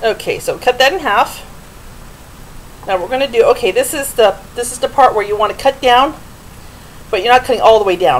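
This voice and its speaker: Light background noise sits under speech that moves fairly quickly. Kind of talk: cooking tutorial. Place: kitchen. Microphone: camera far.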